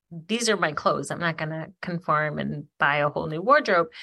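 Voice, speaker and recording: A woman with an American accent talks in an ordinary speaking voice at a moderate pace, her pitch fairly low with ordinary variation, against a quiet background. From Michigan, Ypsilanti/Ann Arbor area. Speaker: podcast co-host. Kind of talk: casual chat. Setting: remote call across continents. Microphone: occasional crackly audio.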